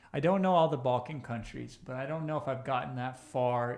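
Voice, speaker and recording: Amid audible room echo, a man with an Iowa accent talks at a medium pitch with fairly even intonation. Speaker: online business coach. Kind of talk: live stream Q&A reading chat. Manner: casual, conversational.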